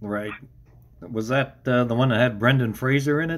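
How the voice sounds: A man at medium pitch, moderate pace, and ordinary pitch variation.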